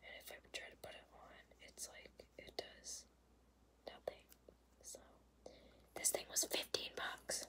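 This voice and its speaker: A woman whispering at a fairly slow pace, with long, frequent pauses and big swings in loudness. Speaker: ASMR creator. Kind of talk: ASMR makeup tapping video. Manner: whispered; casual, chatty. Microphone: phone near.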